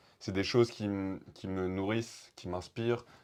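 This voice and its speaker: Over a quiet background, a man with a fairly low pitch talks at a moderate pace in a monotone, flat way. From France, Haute-Loire (Chambon-sur-Lignon). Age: 20s. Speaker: rapper and poet. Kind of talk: interview. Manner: halting.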